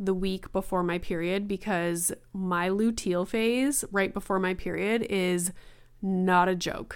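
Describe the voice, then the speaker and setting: A woman at a medium pitch and fairly slow pace, on a very clean recording with a silent background. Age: 30s. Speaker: podcast host. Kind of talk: solo monologue, casual venting. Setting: home recording, filmed on camera. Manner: animated.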